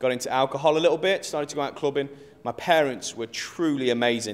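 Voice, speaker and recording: A man speaks fairly quickly at a medium pitch in an English Midlands accent. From English Midlands (Rugeley, Staffordshire). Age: 20s. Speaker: pastor. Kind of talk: interview testimony.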